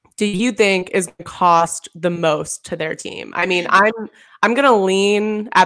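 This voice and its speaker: Captured on a very clean recording with a silent background, this is a plain, everyday voice. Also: woman. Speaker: podcast host. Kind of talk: casual chat.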